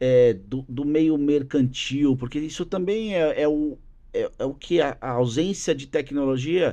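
A man with fairly high pitch and a dark, mellow tone, at a fairly slow pace with ordinary pitch variation, over a quiet background. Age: 40s. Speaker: business executive and drummer; podcast guest. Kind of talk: casual interview chat. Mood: relaxed, conversational. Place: studio. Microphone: studio mic.

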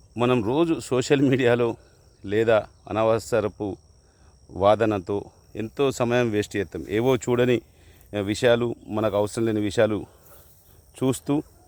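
This is a man at medium pitch. His pitch varies in an ordinary way. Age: 50s. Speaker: hobby farmer vlogger. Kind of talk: casual vlog talk. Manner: halting.

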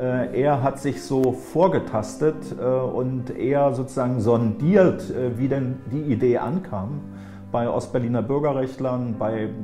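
Clear music plays behind a man speaking at a very slow pace. His pitch is medium, with ordinary variation. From Thuringia, East Germany. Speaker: politician, former East Berlin mayor. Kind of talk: interview answer. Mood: calm, reflective recollection. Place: office. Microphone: lapel.

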